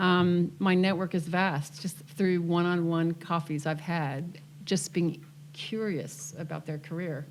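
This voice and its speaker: A woman talks with a fairly low pitch. Noticeable background noise sits behind her voice. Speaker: career mentor. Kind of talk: casual chat.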